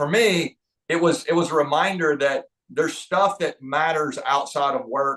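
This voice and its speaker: A man talks at a fairly high pitch. He has a slight Southern US accent. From US South, North Georgia. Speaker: leadership trainer and author. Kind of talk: podcast interview. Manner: halting, frequent word repetitions.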